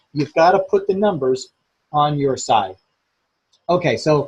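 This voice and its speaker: A man talks in an ordinary speaking voice at a fairly high pitch. His pace is fairly slow. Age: 60s. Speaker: business trainer. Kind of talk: training webinar. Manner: casual, filler-heavy.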